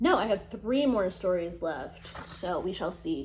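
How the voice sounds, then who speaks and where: Audible room echo surrounds a woman speaking at a fairly slow pace. Her pitch swings very widely. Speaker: lifestyle vlogger. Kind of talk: casual chat. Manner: animated.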